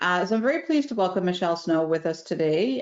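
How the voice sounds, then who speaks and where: The speaker is a woman. She talks with a Newfoundland accent. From Newfoundland and Labrador, Canada. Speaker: facilitator and event host. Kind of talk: casual virtual networking chat. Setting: video call. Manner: fast.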